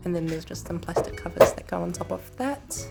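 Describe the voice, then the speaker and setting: A woman's speech comes at a fairly quick pace. Behind her, there is music. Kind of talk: motovlog voiceover. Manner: casual.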